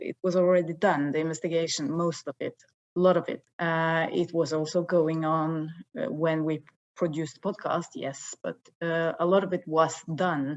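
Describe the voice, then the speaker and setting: A woman with a Norwegian accent speaks at a fairly low pitch against a quiet background. Her intonation stays fairly even. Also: moderate pace. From northern Norway. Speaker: investigative TV journalist. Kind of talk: interview.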